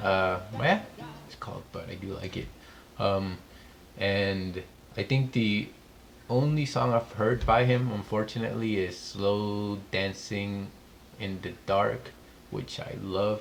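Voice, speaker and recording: A man with a non-native accent and fairly low pitch, at a very slow pace with long, frequent pauses and ordinary pitch variation. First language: not English. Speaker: music reaction youtuber. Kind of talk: music reaction commentary. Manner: casual, many filler words.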